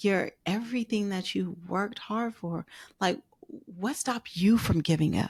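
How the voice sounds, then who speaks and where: A woman with an American accent speaks at a fairly slow pace, her voice somewhat breathy and medium in pitch. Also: ordinary pitch variation. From US West Coast (Oakland, California). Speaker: podcast host. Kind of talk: interview.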